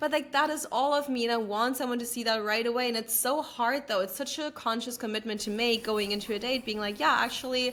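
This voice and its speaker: A woman's high-pitched, animated voice at a very fast pace with hardly any pauses, over noticeable background noise. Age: 20s. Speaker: podcast host. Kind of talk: casual chat.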